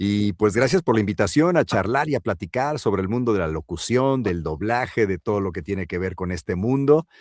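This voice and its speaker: A man with a Mexican accent talks at a fairly quick pace with hardly any pauses, in a fairly low pitch and with lively intonation. The recording is very clean with a silent background and has a dry, close sound with no echo. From Mexico. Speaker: voice actor and announcer. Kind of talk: interview answer.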